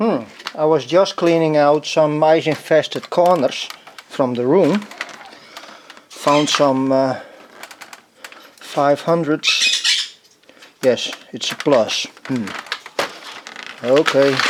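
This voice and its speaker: A man with a non-native accent speaks at a very slow pace, leaving long, frequent pauses. His pitch is fairly high with ordinary variation, over noticeable background noise. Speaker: retro computer collector. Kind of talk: casual talk to camera. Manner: hesitant, musing.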